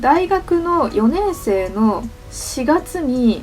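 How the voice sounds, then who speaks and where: With music playing in the background, a woman speaks with very wide pitch swings. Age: 30s. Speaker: manga artist. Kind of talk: casual talk to camera.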